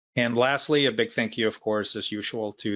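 A man with a fairly low pitch talks in a normal speaking voice. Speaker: user group host opening the meeting. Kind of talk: meeting introduction remarks. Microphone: video call.

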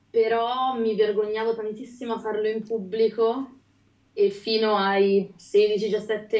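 A woman's fairly high voice in a monotone, flat intonation, with audible room echo. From Liguria, Italy. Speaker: singer; guest. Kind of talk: casual interview. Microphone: video call.

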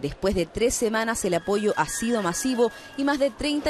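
A woman with a Chilean accent and fairly high pitch, lively intonation and a moderate pace, against noticeable background noise. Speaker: TV news reporter. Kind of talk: news report narration.

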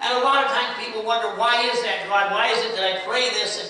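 In a room with strong echo, a man uses a raised, projected voice at a fairly quick pace with fairly even intonation. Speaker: preacher. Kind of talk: sermon. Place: church. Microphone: camera far.

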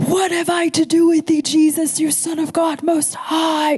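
A put-on character voice at an extremely high pitch and moderate pace. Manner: powerful, tormented.

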